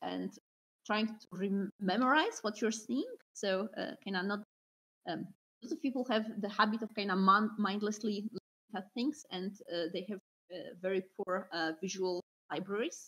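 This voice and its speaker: With a Polish accent, the speaker goes at a fairly slow pace with ordinary pitch variation and long, frequent pauses. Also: woman, medium pitch for a woman. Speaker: concept artist. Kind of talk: interview. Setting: video call.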